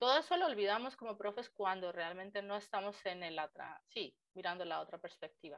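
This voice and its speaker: A woman speaks at a fairly quick pace with a medium pitch, ordinary pitch variation and hardly any pauses. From Colombia. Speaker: language teacher. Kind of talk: interview.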